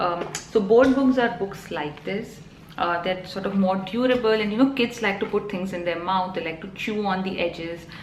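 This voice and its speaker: Over noticeable background noise and audible room echo, a woman with a Telugu accent speaks at a moderate pace and medium pitch with ordinary pitch variation. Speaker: vlogger. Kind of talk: casual vlog talk. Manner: hesitant, many fillers.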